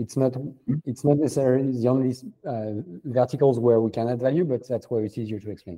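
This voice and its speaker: Speaking at a very fast pace in a French accent, a man has a dark, mellow tone, a medium pitch and fairly even intonation. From France. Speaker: venture capital founder. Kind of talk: interview. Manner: halting, many fillers.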